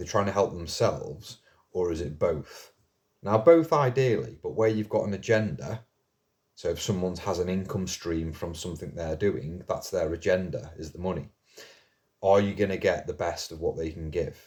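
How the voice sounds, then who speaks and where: A man with a fairly low, somewhat breathy voice speaks at a moderate pace with lively intonation and big swings in loudness. The recording is very clean, with a silent background. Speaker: mental health video blogger. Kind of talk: casual monologue to camera. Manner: slightly slurred.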